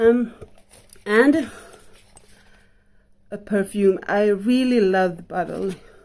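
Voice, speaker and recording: Using a dark, mellow tone, a woman with a non-native accent speaks at a very slow pace with ordinary pitch variation. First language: not English. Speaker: vlogger. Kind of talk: casual haul review. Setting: at home in bedroom. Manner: halting, many fillers.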